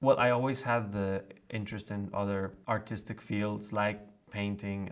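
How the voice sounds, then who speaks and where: Relaxed in tone, a man talks with a Spanish accent at a moderate pace. His voice sits fairly low, with fairly even intonation. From Colombia. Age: 20s. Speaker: cellist. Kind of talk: interview. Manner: relaxed, with hesitations.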